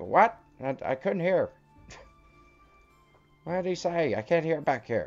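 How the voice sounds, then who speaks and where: A croaky, put-on character voice at a middle pitch moves at a fairly slow pace with long, frequent pauses. Faint music plays in the background. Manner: croaky, confused.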